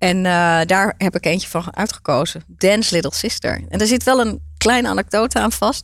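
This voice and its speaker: With hardly any pauses and very even loudness, a woman talks at a moderate pace over a very clean recording with a silent background. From Netherlands, Turkish migrant family. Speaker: entrepreneur. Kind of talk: interview.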